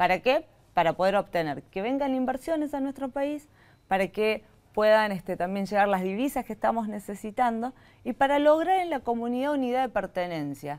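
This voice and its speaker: At a moderate pace, the voice moves through very wide pitch swings. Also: woman, fairly high pitch for a woman. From Argentina, Catamarca; Argentina. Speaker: government tourism official; guest. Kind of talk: interview. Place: studio.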